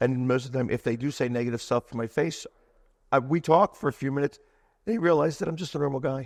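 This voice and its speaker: A man in a Philadelphia accent at a very fast pace, with ordinary pitch variation. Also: dry, close sound with no echo. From Delaware County, Pennsylvania (Philadelphia area). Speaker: sports superfan and anti-bullying speaker. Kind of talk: podcast interview.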